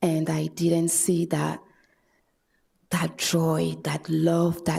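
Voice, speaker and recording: A woman with a French accent at a very slow pace. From France. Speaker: public commenter, mother and student. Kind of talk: public comment at city meeting. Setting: city commission chambers. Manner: halting.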